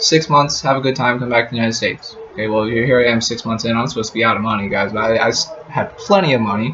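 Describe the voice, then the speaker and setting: Noticeable background noise surrounds a man with an American accent whose pitch varies in an ordinary way. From US, Colorado. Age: 20s. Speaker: travel vlogger. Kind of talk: casual vlog talk to camera. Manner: repetitive, halting filler words.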